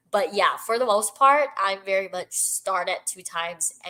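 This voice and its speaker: A woman of medium pitch with a bright, sharp tone and lively intonation. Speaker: book streamer. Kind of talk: live stream chat reading out comments. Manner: slow.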